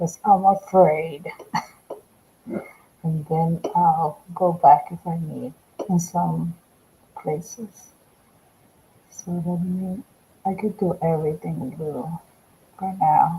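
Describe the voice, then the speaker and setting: In a Spanish accent, a woman speaks very slowly at a fairly low pitch with fairly even intonation, big swings in loudness and long, frequent pauses, over noticeable background noise. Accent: Spanish accent, self-described bad English. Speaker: art instructor. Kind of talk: live painting tutorial. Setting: livestream. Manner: slow, halting.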